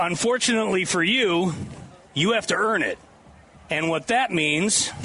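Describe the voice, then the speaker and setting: A man speaks at a moderate pace in a high, raised and projected voice, with ordinary pitch variation, very even loudness and noticeable background noise. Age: 70s. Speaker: radio host. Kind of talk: live radio broadcast. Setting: outdoor booth at state fair with crowd. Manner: animated.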